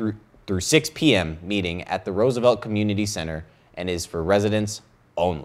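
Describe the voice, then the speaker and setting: At a fairly quick pace, a man talks with a fairly low pitch. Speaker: student news anchor. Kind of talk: news reading. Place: studio. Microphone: lapel.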